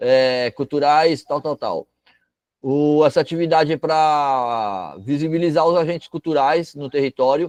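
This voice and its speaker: Here is a man with an unremarkable speaking voice and a fairly high pitch. He speaks at a fairly slow pace with ordinary pitch variation. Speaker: cultural project workshop instructor. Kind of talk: online workshop lecture. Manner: casual, conversational.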